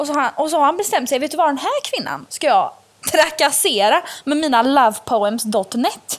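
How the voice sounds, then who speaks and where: A high-pitched woman with lively intonation, moderate pace, and noticeable background noise. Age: 20s. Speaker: podcast host. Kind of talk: casual chat. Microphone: cheap earphone mic.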